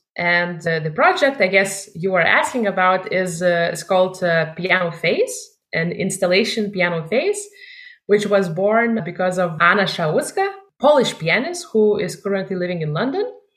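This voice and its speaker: A woman with a Lithuanian accent speaks at a medium pitch. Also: ordinary pitch variation, moderate pace. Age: 20s. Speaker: musician. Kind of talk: interview.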